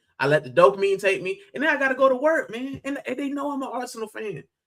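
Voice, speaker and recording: Extremely high-pitched and animated, a man with an American accent talks at a fairly quick pace in a raised, projected voice with lively intonation and a bright, sharp tone. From US, Miami. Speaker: football fan streamer. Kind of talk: live stream fan debate. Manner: loud.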